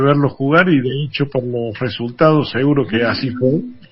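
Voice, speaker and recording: In a somewhat breathy voice, a man talks at a fairly slow pace. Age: 60s. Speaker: journalist and former basketball player, museum director. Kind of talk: radio interview. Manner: hesitant, many fillers.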